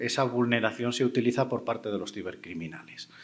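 A man is speaking. He has a Spanish accent. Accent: Spanish (Spain). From Spain. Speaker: panel moderator, cybersecurity expert; panel moderator. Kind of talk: panel moderation. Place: stage. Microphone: handheld.

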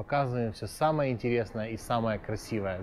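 This is a man speaking at a medium pitch. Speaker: video blogger, city guide. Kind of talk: walking tour narration. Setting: outdoors. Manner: animated.

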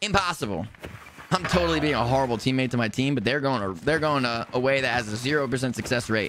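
A man with an American accent at a very fast pace, medium pitch and ordinary pitch variation, against noticeable background noise. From New Jersey. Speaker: video game streamer. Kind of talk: live gameplay stream chat. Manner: animated. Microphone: studio mic.

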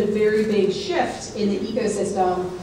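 In a monotone, flat intonation, a woman speaks with audible room echo and light background noise. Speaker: panel moderator. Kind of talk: conference panel talk. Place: hall.

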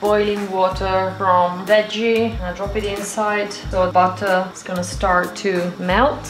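A woman speaks at a fairly slow pace. Audible room echo and light background noise are present. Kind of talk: cooking tutorial. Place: kitchen. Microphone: camera far.

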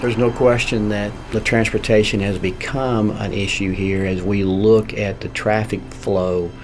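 The man's voice sits at a fairly low pitch with fairly even intonation. Faint music plays in the background. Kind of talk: interview answer. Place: office.

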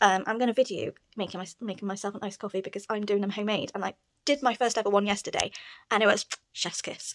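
The background is quiet. A woman with a British accent talks at a very fast pace. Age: 30s. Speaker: book vlogger. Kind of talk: casual vlog chat. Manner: animated. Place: home room. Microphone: phone near.

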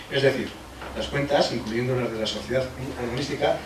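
A man speaks with audible room echo. Noticeable background noise sits behind him. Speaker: council official or mayor. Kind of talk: reading an official report aloud. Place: meeting room.

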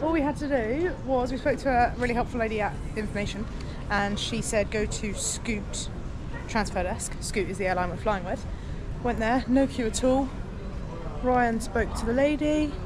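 There is noticeable background noise as a woman talks in a high voice at a moderate pace. Her pitch varies in an ordinary way, and she leaves long, frequent pauses. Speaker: travel vlogger. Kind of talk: casual vlog chat. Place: station. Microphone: phone near.

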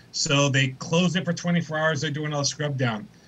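This man talks at a fairly high pitch with ordinary pitch variation. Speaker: Zoom panel participant, company employee. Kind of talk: casual chat. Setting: video call. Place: home room. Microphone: video call.

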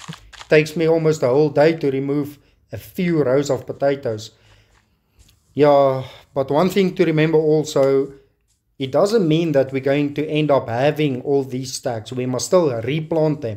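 In a South African accent, a man speaks at a moderate pace with a fairly high pitch, a dark, mellow tone and ordinary pitch variation. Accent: South African (Afrikaans) English. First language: Afrikaans. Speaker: gaming YouTuber. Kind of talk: gameplay commentary. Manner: casual, with frequent fillers.

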